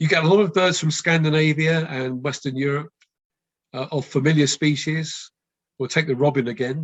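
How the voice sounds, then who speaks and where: Speaking with a West London accent, a man uses fairly high pitch and fairly even intonation. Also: moderate pace. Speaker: birdwatching expert giving a talk. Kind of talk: online talk with Q&A. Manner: hesitant, many fillers.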